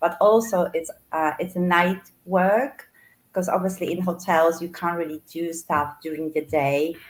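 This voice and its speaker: Someone with a Polish accent speaks at a fairly slow pace with fairly even intonation. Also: woman, fairly low pitch for a woman. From Poland. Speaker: florist and online business owner. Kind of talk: interview.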